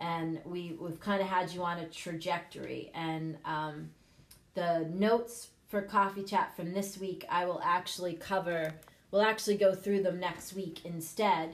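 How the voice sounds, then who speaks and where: A woman with an unremarkable speaking voice talks at a fairly slow pace. Her pitch is fairly low and her intonation fairly even. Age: 50s. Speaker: lifestyle podcast host and single mom coach. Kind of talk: casual live-stream chat with personal story. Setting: live video stream with viewer comments. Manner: conversational with many fillers.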